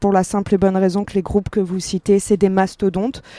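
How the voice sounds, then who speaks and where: The dry, close sound with no echo carries a woman's medium-pitched voice and its dark, mellow tone. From Paris, France. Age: 30s. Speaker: fashion brand co-founder. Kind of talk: panel discussion. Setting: outdoor stage with audience.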